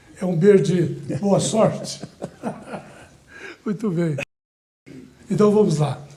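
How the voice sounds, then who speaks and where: With audible room echo around him, a man talks at a fairly slow pace with ordinary pitch variation. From Brazil, Goiás (Orizona region). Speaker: TV show host. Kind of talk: interview. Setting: studio.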